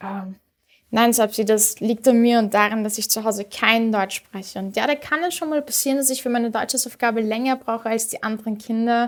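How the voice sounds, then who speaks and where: This is a woman with an ordinary speaking voice, fairly high in pitch, with fairly even intonation. The recording is very clean, with a silent background. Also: fairly quick pace. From Austria, Vienna (Simmering). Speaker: poetry slammer. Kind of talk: poetry slam performance.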